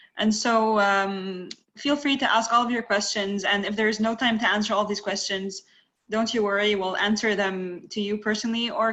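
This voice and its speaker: This woman speaks fairly quickly with an Arabic accent. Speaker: webinar moderator. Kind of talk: webinar moderation.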